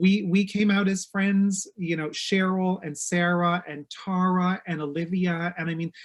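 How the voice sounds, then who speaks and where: A fairly slow pace with hardly any pauses, over a quiet background. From Newfoundland, Canada. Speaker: interior designer, TV personality. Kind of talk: casual chat.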